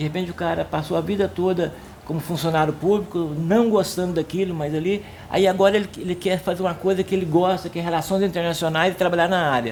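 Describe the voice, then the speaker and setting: A man talks fairly quickly at a high pitch. His pitch varies in an ordinary way. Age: 60s. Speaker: senior university student. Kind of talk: documentary interview. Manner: halting, repeats words.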